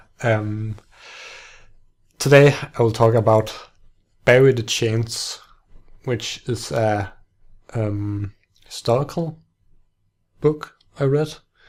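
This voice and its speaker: Speaking very slowly with a non-native accent, a man at medium pitch keeps a fairly even intonation and takes long, frequent pauses, in a very clean recording with a silent background. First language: not English. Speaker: book podcaster. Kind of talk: casual book talk monologue. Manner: halting, many restarts and fillers.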